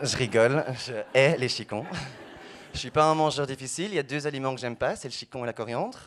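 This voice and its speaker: Here a man speaks with a Belgian accent. His pace is fairly quick. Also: medium pitch for a man, ordinary pitch variation. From Belgium, Brussels. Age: 20s. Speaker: stand-up comedian. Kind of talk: stand-up.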